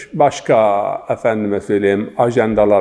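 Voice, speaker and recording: This man has a medium pitch and speaks with an eastern Turkish accent. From Zaza region of eastern Turkey. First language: Zaza (speaking Turkish). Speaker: religious scholar and linguist. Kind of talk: interview. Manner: formal; halting.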